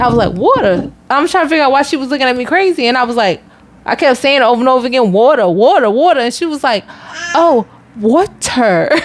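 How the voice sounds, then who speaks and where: Noticeable background noise under a very fast stream of talk. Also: woman, high pitch for a woman, lively intonation. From Philadelphia, US Northeast. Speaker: podcast co-host. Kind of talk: casual chat.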